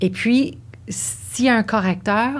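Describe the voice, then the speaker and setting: Her pitch swings very widely. This woman talks at a very slow pace. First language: English (speaking French). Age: 60s. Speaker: dancer and yoga teacher. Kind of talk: interview conversation. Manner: halting.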